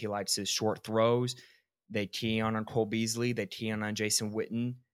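In a plain, everyday voice, a man speaks at medium pitch and a moderate pace on a very clean recording with a silent background. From Georgia, US. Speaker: sports podcast host. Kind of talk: casual sports chat.

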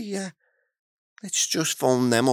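On a very clean recording with a silent background, a man speaks fairly quickly. His sound is dry and close, with no echo. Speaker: podcast co-host, cannabis grower. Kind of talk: casual chat. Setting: studio, away from the microphone. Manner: informal, interrupts often.

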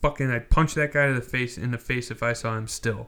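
A man at a medium pitch with a bright, sharp tone and a fairly quick pace. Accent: American. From US Midwest (Wisconsin). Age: 20s. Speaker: sports podcast host. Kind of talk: casual solo monologue.

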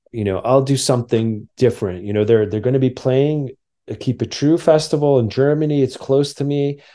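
Speaking in a New Jersey accent, a man has a medium pitch, a dark, mellow tone, and ordinary pitch variation, moving at a fairly quick pace against a quiet background. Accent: New Jersey American. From New Jersey, near New York City. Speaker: documentary filmmaker. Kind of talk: interview conversation.

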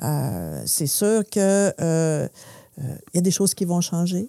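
Speech comes at a very slow pace with ordinary pitch variation. The recording is very clean with a silent background, dry and close with no echo. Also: woman. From Quebec, Saguenay (Chicoutimi). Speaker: business association director. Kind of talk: interview.

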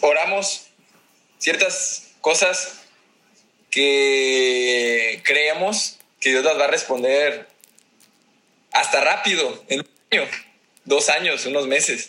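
Speaking at a very slow pace, a man leaves long, frequent pauses. His words come out slowly, spaced far apart. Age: 20s. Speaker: food business owner. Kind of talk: casual interview.

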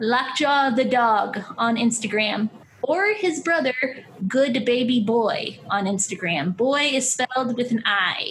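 A woman's high pitch, ordinary pitch variation and very even loudness at a very slow pace, with noticeable background noise. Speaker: writer and comedian. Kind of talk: casual chat.

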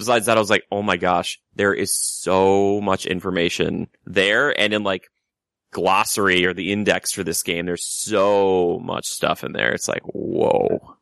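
A man with an American accent and an unremarkable speaking voice talks fairly slowly at a fairly low pitch with fairly even intonation, in a dry, close sound with no echo over a quiet background. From Minnesota. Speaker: actor and theme park vlogger. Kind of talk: casual chat.

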